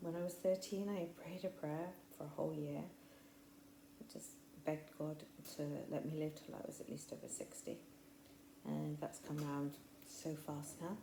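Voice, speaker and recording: A woman with an English Midlands accent at a moderate pace, with long, frequent pauses and audible room echo. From English Midlands, near Coventry. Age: 60s. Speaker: faith podcaster. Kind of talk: personal testimony monologue. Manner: chatty, rambling with fillers.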